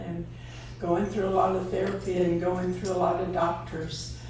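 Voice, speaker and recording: A woman speaks in an American accent at a fairly slow pace. Noticeable background noise and audible room echo surround her. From East Texas. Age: 80s+. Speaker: radio DJ's wife telling life story. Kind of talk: personal storytelling.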